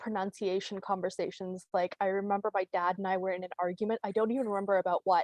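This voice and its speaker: Someone with a Canadian accent talks at a fairly quick pace. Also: woman. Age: 30s. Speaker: comedian. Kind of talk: stand-up. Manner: casual, halting with fillers.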